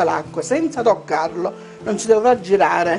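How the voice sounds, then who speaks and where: Music clearly audible behind a woman's moderately paced speech. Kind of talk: cooking tutorial. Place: kitchen. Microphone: lapel.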